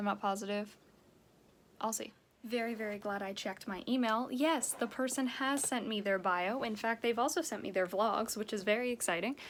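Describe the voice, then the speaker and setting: At a moderate pace, a woman with a plain, everyday voice speaks at a fairly high pitch with ordinary pitch variation. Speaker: daily vlogger; performer. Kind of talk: casual talk to camera.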